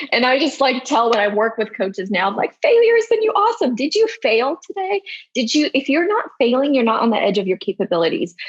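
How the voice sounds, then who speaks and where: A woman talks at a very fast pace with hardly any pauses, her high pitch making very wide swings. Her loudness stays very even, and there is noticeable background noise. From Slavic country, former Soviet bloc. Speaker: health and wellness coach. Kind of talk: podcast interview.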